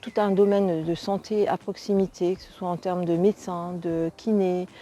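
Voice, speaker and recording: At a fairly slow pace, a woman with a dark, mellow, medium-pitched voice speaks in a monotone, flat way with big swings in loudness, in a very clean recording with a silent background. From France, Rennes (Brittany). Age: 60s. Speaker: local resident, retiree. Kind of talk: testimonial interview. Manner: hesitant, many fillers.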